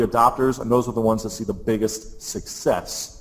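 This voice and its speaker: This is a man speaking with an American accent. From US Midwest (Columbus, Ohio). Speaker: social media marketing presenter. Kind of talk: webinar presentation. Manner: fast; energetic.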